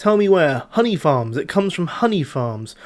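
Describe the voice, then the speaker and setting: The man's voice sits high, and his pitch swings very widely. He keeps a moderate pace. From British. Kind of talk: movie script read-through. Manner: tired.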